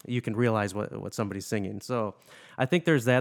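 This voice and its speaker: Recorded with a dry, close sound and no echo, a man with an ordinary speaking voice shows ordinary pitch variation. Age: 30s. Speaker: podcast host and musician. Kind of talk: casual interview.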